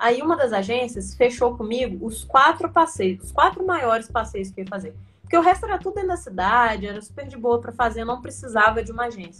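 A woman with vocal fry talks at a fairly high pitch with hardly any pauses. Her pitch swings very widely and her loudness swings a lot. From Brazil, Minas Gerais. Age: 20s. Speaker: traveler. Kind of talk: casual interview. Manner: animated.

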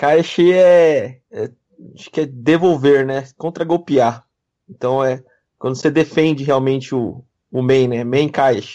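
Speaking at a very slow pace, a man uses fairly even intonation, his fairly high pitch carrying a dark, mellow tone. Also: big swings in loudness. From Brazil, of Japanese descent. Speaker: kendo practitioner, podcast co-host. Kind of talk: casual chat.

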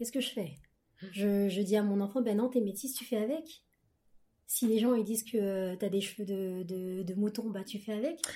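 A woman speaks in an ordinary speaking voice at a medium pitch. Her pitch variation is ordinary and her pace moderate. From France, Paris region, Ghanaian heritage. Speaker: book club guest. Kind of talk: casual chat.

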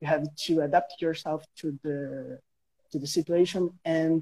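The man's voice has a dark, mellow tone. His intonation holds fairly level throughout. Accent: Brazilian. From Brazil. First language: Portuguese. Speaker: guest English learner. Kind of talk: casual interview. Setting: Instagram live stream. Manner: halting.

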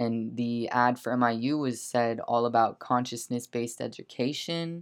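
A man's unremarkable speaking voice at a medium pitch and moderate pace, with fairly even intonation, in a very clean recording against a silent background. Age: 20s. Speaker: podcast host. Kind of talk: casual monologue.

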